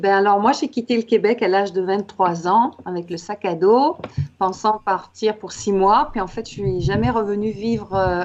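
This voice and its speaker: Fairly slow speech from a woman at medium pitch, with ordinary pitch variation and noticeable background noise. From Quebec. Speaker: author and coach. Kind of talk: interview.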